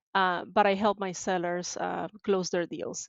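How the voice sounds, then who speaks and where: With fairly even intonation, a woman at a medium pitch talks at a moderate pace. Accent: Spanish. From Venezuela, Maracaibo. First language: Spanish. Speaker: tech sales support professional. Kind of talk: podcast interview.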